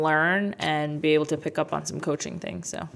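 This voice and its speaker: With an American accent, a woman speaks in a very deep, low pitch and a monotone, flat intonation. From New Jersey (Jackson/Freehold area). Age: 20s. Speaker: basketball coach. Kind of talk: interview conversation.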